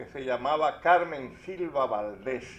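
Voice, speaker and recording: Very slowly, a man speaks. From Dominican Republic, Santo Domingo. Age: 80s+. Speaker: panel speaker on local history. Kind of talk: casual chat.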